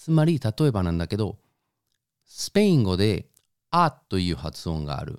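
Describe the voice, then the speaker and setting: This man has a fairly low pitch, a dark, mellow tone and a Spanish accent. His pitch swings very widely, and the sound is dry and close with no echo. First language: Spanish (speaking Japanese). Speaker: podcast co-host. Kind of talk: casual chat.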